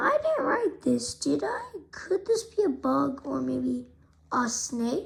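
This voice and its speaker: A raspy, high-pitched put-on character voice from a woman at a very slow pace. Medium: read story. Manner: excitable, rambling.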